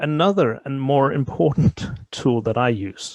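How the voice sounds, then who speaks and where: Against a quiet background, a man with a Danish accent speaks with ordinary pitch variation. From Denmark. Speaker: tabletop role-playing gamer. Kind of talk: interview. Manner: halting.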